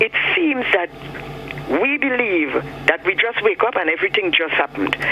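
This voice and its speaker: Over noticeable background noise, a man with a high-pitched voice speaks at a moderate pace, his loudness very even and his intonation lively. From Grenada. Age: 60s. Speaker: caller. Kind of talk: phone-in call. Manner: animated.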